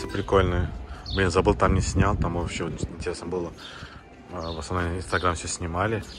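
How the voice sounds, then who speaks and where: A man's very deep, low voice at a moderate pace, with long, frequent pauses and noticeable background noise. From Azerbaijan. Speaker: vlogger; travel vlogger. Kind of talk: casual travel vlog narration. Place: street. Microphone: phone near.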